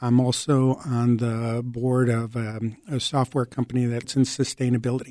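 A man with a Chicago accent and a dark, mellow tone speaks in a flat monotone with hardly any pauses. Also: medium pitch for a man, moderate pace. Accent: Chicago American. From Chicago, moved from Mexico at six. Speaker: civilian hero award recipient. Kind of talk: interview.

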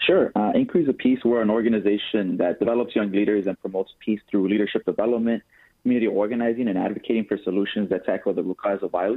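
A man with an American accent rushes along at a very fast pace, his pitch fairly low and his intonation fairly even. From Chicago South Side. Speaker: youth peace organizer. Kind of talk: radio interview.

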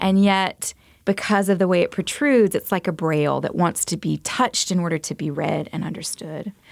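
With a plain, everyday voice, a woman speaks at medium pitch in an American accent, with ordinary pitch variation, a fairly quick pace, and a dry, close sound with no echo. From US South, Montgomery, Alabama. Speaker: visual artist. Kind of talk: radio interview. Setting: radio studio.

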